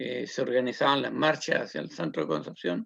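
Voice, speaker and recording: A man talks in a Chilean accent. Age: 70s. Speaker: social activist and community leader. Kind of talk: interview testimony. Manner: hesitant, many fillers.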